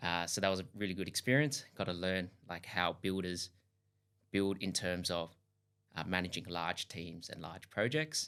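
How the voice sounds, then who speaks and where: A man with a very deep, low pitch, an Australian accent and a bright, sharp tone, at a moderate pace on a very clean recording with a silent background. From Australia, Sydney (Hills District). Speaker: duplex builder, company founder. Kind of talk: podcast interview.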